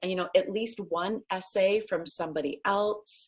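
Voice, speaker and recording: A woman speaks at a fairly slow pace with an American accent. Hers is a plain, everyday voice. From US Northeast (New Hampshire). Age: 60s. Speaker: writer and writing workshop teacher. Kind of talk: online class. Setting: video call.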